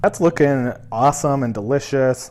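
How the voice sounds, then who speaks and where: Noticeable background noise sits under a man speaking in an upbeat tone. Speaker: cooking youtuber. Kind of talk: cooking tutorial. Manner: fast; casual, upbeat.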